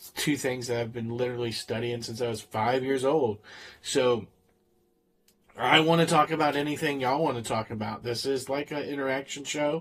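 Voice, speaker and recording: A man with a Southern US accent speaks at a moderate pace in a medium pitch, somewhat breathy, with fairly even intonation and big swings in loudness. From US South, Florida. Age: 40s. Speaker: streamer and high school teacher. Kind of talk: casual live-stream chat. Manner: hesitant, many fillers.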